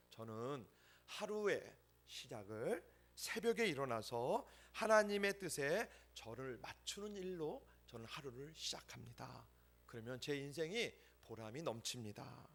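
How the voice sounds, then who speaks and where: The speaker's pitch swings very widely at a fairly slow pace. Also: man. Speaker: pastor. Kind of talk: sermon.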